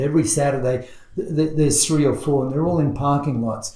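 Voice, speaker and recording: A man with an Australian accent and a fairly high voice, amid noticeable background noise and audible room echo. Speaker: car show organizer. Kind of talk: podcast interview. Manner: halting, many fillers.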